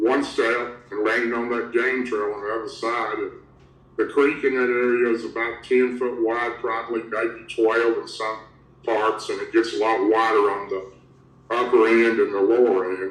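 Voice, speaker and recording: A man with a Southern US accent speaks at medium pitch with monotone, flat intonation. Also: moderate pace. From Tennessee. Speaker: Bigfoot researcher, former elected official. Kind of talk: interview answer.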